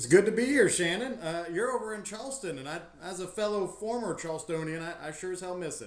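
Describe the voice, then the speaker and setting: A man with an American accent talks in a high pitch at a very fast pace, with lively intonation and hardly any pauses. Audible room echo and noticeable background noise are present. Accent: Southern US, redneck. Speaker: tour company owner, army veteran. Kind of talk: podcast interview.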